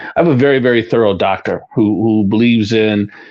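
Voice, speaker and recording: The man's voice sits at a medium pitch. Background noise is noticeable. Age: 60s. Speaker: retired police deputy chief. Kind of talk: radio interview.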